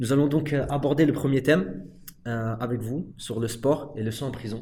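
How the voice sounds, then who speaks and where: Somewhat breathy, a man speaks in a medium pitch with ordinary pitch variation. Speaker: podcast moderator, prison workshop participant. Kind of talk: moderated discussion.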